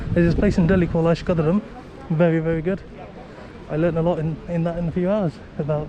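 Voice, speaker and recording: The speech comes very fast in a flat monotone, broken by long, frequent pauses. Noticeable background noise is present. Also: man. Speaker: travel vlogger. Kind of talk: travel vlog narration. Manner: speaking quietly.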